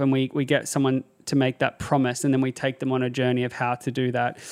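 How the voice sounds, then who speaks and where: A man with an Australian accent speaks at a fairly quick pace and a medium pitch, recorded very cleanly against a silent background with a dry, close sound and no echo. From Australia (Sydney). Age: 30s. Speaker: psychologist and mental health advocate. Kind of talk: casual interview chat.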